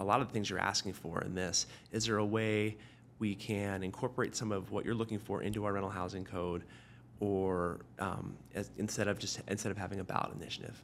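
With a Pacific Northwest accent, a man speaks at a fairly quick pace and fairly low pitch. His intonation stays monotone and flat. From Tacoma, Washington, US Pacific Northwest. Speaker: city councilmember, former high school teacher. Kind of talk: interview.

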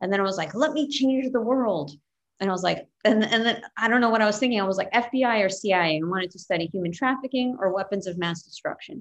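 A woman with an American accent speaks very fast at a fairly high pitch. Her intonation is lively. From New York City. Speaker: comedian. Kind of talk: casual chat.

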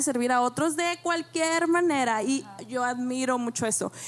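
A woman speaks with a high pitch and ordinary pitch variation. Noticeable background noise runs behind her. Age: young. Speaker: church member, mother. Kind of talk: panel talk.

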